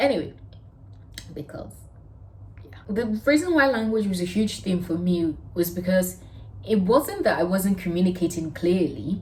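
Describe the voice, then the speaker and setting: A woman speaks at a medium pitch with lively intonation and a somewhat breathy voice. Her loudness swings widely, and she takes long, frequent pauses. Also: moderate pace. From Nigeria. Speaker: vlogger. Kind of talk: personal storytelling vlog.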